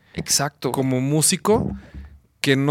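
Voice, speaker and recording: A man with an ordinary speaking voice, pitched fairly high for a man. The sound is dry and close with no echo, the recording very clean over a silent background, and his intonation stays fairly even. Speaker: musician and composer. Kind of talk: casual chat.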